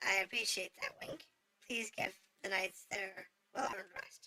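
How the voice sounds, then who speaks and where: Putting on a raspy character voice, a woman speaks at a moderate pace. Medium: game stream. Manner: gentle, dignified.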